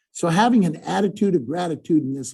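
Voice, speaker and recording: Moving at a fairly quick pace, a man with a dark, mellow tone and vocal fry speaks at a fairly high pitch with very wide pitch swings. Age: 70s. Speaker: motivational speaker. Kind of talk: webinar talk. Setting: webinar.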